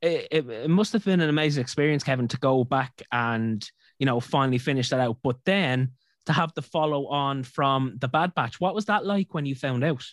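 A man with an Irish accent, in a very clean recording with a silent background and a dry, close sound with no echo. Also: fairly high pitch for a man, ordinary pitch variation, moderate pace. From Ireland. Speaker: podcast host. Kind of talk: interview.

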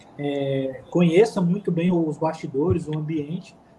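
A man's voice with ordinary pitch variation. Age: 30s. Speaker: football commentator. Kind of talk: casual interview.

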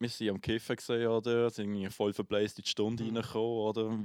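The speaker talks at a very fast pace with a Swiss accent. The background is quiet. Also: man. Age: 20s. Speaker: podcast host, musician. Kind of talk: casual chat.

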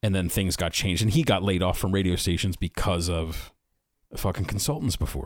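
In a very clean recording with a silent background, a man with an American accent and a very deep, low pitch talks at a fairly quick pace, with very even loudness and ordinary pitch variation. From Philadelphia area, US. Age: 40s. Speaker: podcaster. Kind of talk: casual chat.

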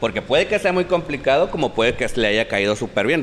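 A man's voice amid noticeable background noise. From La Paz, Baja California Sur. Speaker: talk show host.

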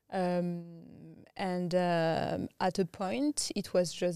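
On a very clean recording with a silent background, a woman speaks at a medium pitch with a strong French accent. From France. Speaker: tech strategist and business founder. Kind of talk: interview conversation.

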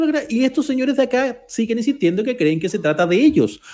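In a Chilean accent, a man talks fairly quickly at an extremely high pitch, his dark, mellow tone sweeping through very wide pitch swings. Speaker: podcast co-host. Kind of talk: casual chat.

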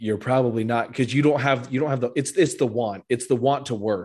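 Against a quiet background, a man speaks in a normal speaking voice at a medium pitch with fairly even intonation. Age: 20s. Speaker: podcast host. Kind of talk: casual chat. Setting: call.

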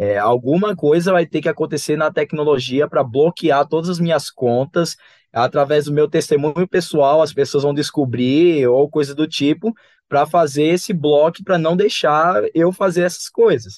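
A man with a fairly high pitch uses an unremarkable speaking voice and ordinary pitch variation, recorded dry and close with no echo against a quiet background. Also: moderate pace, very even loudness. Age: 20s. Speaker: electrical designer and church youth teacher. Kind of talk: casual Bible study discussion.

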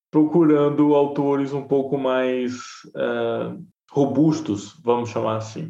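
Amid audible room echo, a man with a fairly high pitch and a dark, mellow tone talks at a fairly slow pace. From Bahia interior, Brazil. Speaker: journalist and podcaster. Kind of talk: interview conversation.

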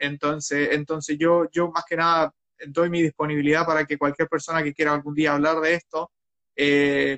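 Recorded with a dry, close sound and no echo, a man talks at a moderate pace in a monotone, flat intonation. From Chile, Talcahuano. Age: 30s. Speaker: long-term budget traveler. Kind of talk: casual chat. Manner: halting.

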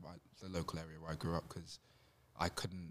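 A man speaks in a London accent, his very deep, low voice held to a flat, monotone delivery. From Southeast London, Catford. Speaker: writer. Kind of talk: school presentation.

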